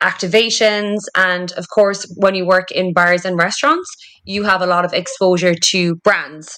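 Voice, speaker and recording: A woman of medium pitch speaks in a Cork accent. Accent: Cork Irish. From Ireland, Cork City. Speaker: marketing director. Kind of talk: interview. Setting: podcast recording.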